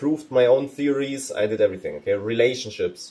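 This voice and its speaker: Fairly quickly, a man speaks in a non-native accent. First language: not English. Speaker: vlogger. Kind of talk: casual vlog. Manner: energetic, casual.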